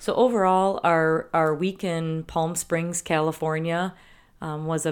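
The recording is very clean, with a silent background. A woman with a Wisconsin accent speaks in a fairly low voice. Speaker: podcast co-host. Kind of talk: casual chat.

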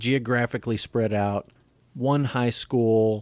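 Speaking in a Texan accent, a man has a medium pitch and fairly even intonation at a fairly slow pace. The sound is dry and close with no echo, on a very clean recording with a silent background. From Texas. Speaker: pastor and podcast host. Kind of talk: casual chat; scripted outro.

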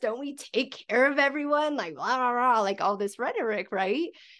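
Over a quiet background, a woman with an American accent speaks at a high pitch with very wide pitch swings. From USA. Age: 40s. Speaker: podcast host. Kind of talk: interview conversation; scripted outro.

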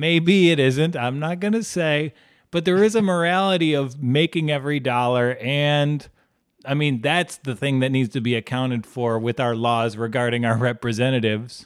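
A man talks at a moderate pace, fairly high-pitched for a man, with ordinary pitch variation. It is a normal speaking voice. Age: 30s. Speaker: podcast co-host. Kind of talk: casual chat. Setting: video call.

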